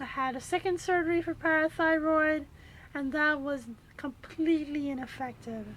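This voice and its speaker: Over noticeable background noise, a woman with a high voice speaks at a moderate pace and with fairly even intonation. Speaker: kidney patient vlogger. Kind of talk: personal testimony. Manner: halting, many fillers.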